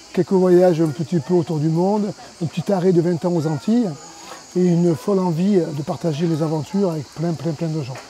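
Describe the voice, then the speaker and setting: Noticeable background noise sits behind a man talking at a fairly quick pace. His pitch is high, with ordinary pitch variation. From southern France, Cévennes (Anduze). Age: 50s. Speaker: adventure park founder. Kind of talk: interview. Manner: halting, many hesitations.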